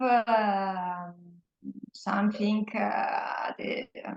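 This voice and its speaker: Very slowly and in a flat monotone, a woman with a Polish accent speaks at a medium pitch. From Poland. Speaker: workplace facilitator and parent educator. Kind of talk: interview. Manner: halting, many fillers.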